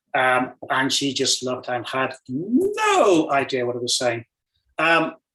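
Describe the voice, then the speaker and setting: A man speaks at a medium pitch with ordinary pitch variation and a bright, sharp tone. His pace is very slow. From northern England, Newcastle. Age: 60s. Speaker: cameraman, invited speaker. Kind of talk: casual talk at online language exchange.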